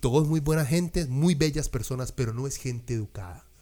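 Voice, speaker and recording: A man's fairly high, somewhat breathy voice in a Costa Rican accent, animated in tone with lively intonation, in a very clean recording with a silent background. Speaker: music podcast host. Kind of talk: casual chat.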